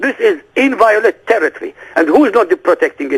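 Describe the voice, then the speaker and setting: Over noticeable background noise, a speaker with an Arabic accent talks at a fairly quick pace in an animated tone with very wide pitch swings. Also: man. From Iraq. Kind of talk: interview. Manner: animated, emphatic.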